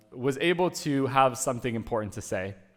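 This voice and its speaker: In an American accent, a man with a plain, everyday voice talks fairly quickly at medium pitch, with lively intonation. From US (born in Uruguay). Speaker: conference speaker. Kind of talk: conference talk.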